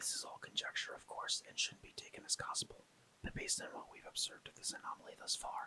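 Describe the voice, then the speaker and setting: The speaker whispers at a very fast pace. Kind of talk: ASMR SCP article reading. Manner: whispered, soft-spoken.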